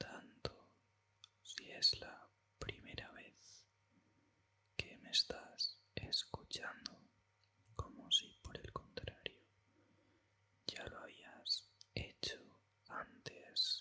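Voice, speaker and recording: Whispering at a very slow pace, a man keeps a calm tone, leaving long, frequent pauses amid big swings in loudness. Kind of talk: ASMR whispered talk. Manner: whispered, calm.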